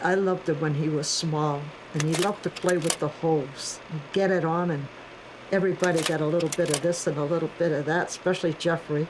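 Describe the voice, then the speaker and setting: Over noticeable background noise, a woman with a fairly low pitch speaks fairly quickly at a very even loudness. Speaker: carver's mother. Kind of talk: documentary interview.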